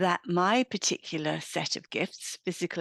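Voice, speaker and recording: A woman with an English accent, dry and close with no echo, over a quiet background. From England. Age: 60s. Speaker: midlife women's mentor. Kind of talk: interview.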